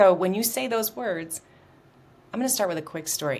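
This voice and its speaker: A woman with an American accent speaks in an animated tone with lively intonation over noticeable background noise. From US Midwest, outside Chicago. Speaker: communication coach. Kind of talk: interview.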